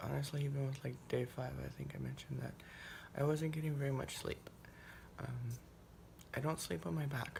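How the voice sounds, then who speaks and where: A woman speaks at a fairly quick pace with long, frequent pauses, and audible echo fills the room. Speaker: vlogger. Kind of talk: casual vlog. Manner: hesitant, many fillers.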